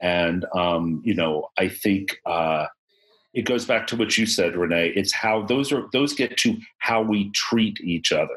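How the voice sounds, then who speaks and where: Using a normal speaking voice, a man talks at a fairly slow pace with fairly low pitch, ordinary pitch variation and very even loudness. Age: 50s. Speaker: podcast host. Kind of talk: casual chat. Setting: video call.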